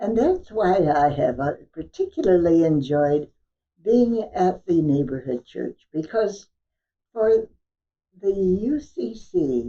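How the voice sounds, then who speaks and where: Speaking with an American accent at a very slow pace, a woman has a dark, mellow tone and very wide pitch swings. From California. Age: 80s+. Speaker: church member, honorary stewardship chair. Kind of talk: interview. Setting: at home.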